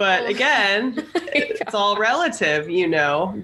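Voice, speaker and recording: Against noticeable background noise, a woman talks at a medium pitch. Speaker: podcast co-host. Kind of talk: casual chat.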